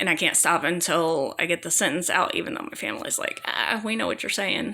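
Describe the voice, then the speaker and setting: A woman speaks at a fairly quick pace with a fairly low pitch. Her intonation is lively, against noticeable background noise. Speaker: vlogger talking about own illness. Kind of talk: personal testimony. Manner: halting, repeating words.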